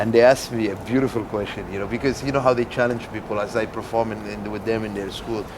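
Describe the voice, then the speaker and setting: Fairly quick speech from a man, medium in pitch, against noticeable background noise. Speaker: performance poet and comedian. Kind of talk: casual conversation.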